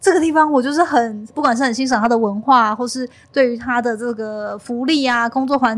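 Her voice is high and she talks at a fairly quick pace with ordinary pitch variation. The recording of this woman is very clean, with a silent background. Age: 30s. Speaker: content creator and podcast host. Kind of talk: casual interview chat.

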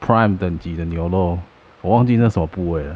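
This man's pitch is very deep and low. His pitch variation is ordinary. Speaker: podcast co-host. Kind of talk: casual chat. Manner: animated.

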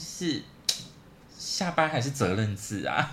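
The voice swings very widely in pitch over noticeable background noise. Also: man. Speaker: podcast co-host. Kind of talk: casual chat.

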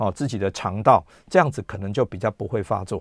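With an unremarkable speaking voice, a man talks at a fairly low pitch with ordinary pitch variation, the sound dry and close with no echo on a very clean recording with a silent background. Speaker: radio host and gastroenterologist. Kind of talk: health talk radio monologue. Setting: radio studio with YouTube livestream.

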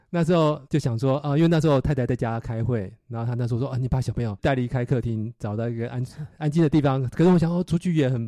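At a very fast pace, a man with a dark, mellow tone and ordinary pitch variation is heard in a dry, close sound with no echo against a quiet background. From Taiwan, Nantou. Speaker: engineer and bike cafe owner. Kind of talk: casual interview. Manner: halting, many fillers.

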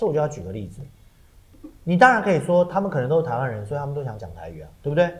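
Speech races at a very fast pace, with very wide pitch swings and big swings in loudness. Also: man, fairly high pitch for a man. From Taiwan. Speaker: podcast co-host and stage actor. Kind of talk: casual chat. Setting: studio.

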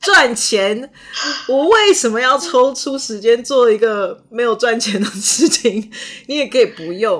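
Through noticeable background noise, a woman with a non-native accent speaks at a fairly slow pace with high pitch and lively intonation. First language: not English (speaking Chinese). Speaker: podcast host and actor. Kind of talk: casual chat.

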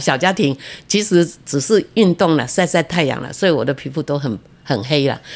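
This woman has a very deep, low pitch and lively intonation. She speaks at a moderate pace. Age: 80s. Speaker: retired civil servant and author. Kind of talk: interview.

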